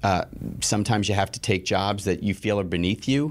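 An ordinary speaking voice belongs to this man with an American accent and a fairly low pitch, heard on a very clean recording with a silent background. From New York City (Queens). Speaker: television network executive. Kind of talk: interview.

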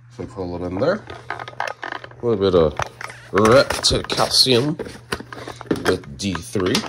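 Over noticeable background noise, a man talks at a very slow pace in a fairly low pitch. His loudness swings widely. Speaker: reptile keeper. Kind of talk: casual chat. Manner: casual, chatty. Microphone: phone near.

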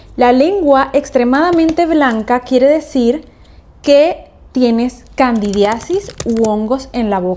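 A woman with a high pitch and lively intonation talks at a very slow pace. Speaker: video creator. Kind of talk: casual explanatory vlog chat. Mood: cheerful, playful. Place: home room.

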